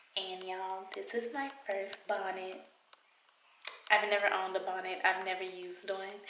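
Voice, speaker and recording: A woman at a moderate pace, with monotone, flat intonation, audible room echo and noticeable background noise. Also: medium pitch for a woman. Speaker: vlogger. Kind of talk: casual vlog.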